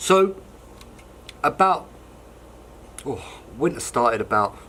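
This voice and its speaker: Very slow and relaxed in tone, a man with an English accent speaks at a fairly high pitch, his bright, sharp voice making very wide pitch swings. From London, England. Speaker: hobbyist model wagon maker. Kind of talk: casual show-and-tell video. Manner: relaxed, conversational with many ums.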